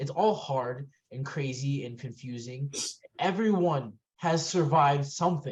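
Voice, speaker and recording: At a fairly slow pace, a man speaks somewhat breathily, with fairly high pitch and ordinary pitch variation. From Puerto Rican heritage. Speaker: podcast co-host; military veteran. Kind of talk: casual chat. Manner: halting, many repetitions.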